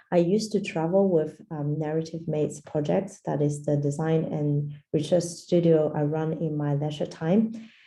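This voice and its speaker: Amid audible room echo, a woman with a dark, mellow tone and a very deep, low pitch speaks at a moderate pace with fairly even intonation and hardly any pauses. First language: Portuguese. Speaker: design anthropologist. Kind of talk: lecture. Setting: video call.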